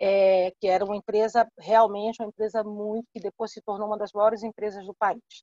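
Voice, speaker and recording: A woman with a fairly high, dark, mellow voice talks at a fairly quick pace with hardly any pauses. Her intonation is monotone and flat, while her loudness swings widely. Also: dry, close sound with no echo. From Salvador, Bahia, Brazil. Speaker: entrepreneur speaker. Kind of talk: live online talk, Q&A answer.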